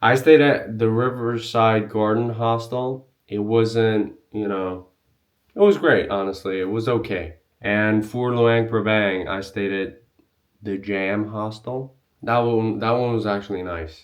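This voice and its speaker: A man with a non-native accent, medium pitch, fairly even intonation and a fairly slow pace. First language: not English. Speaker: travel vlogger. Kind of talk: tutorial. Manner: casual, filler-heavy.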